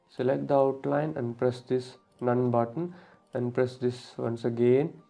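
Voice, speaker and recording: A fairly slow pace over music in the background. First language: not English. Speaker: graphic design tutor. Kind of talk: tutorial. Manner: halting.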